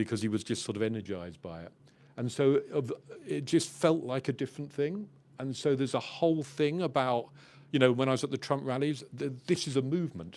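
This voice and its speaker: Someone with an English accent talks at a fairly quick pace with lively intonation in a very clean recording with a silent background. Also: man, medium pitch for a man. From England. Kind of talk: panel discussion.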